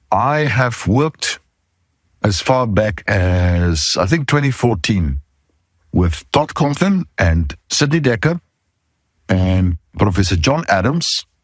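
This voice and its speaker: A man speaks at a very slow pace and a fairly low pitch, with long, frequent pauses and very wide pitch swings. His loudness stays very even, and the recording is very clean with a silent background. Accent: South African. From South Africa. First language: not English (English is third language). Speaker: podcast host, safety consultant. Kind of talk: podcast monologue.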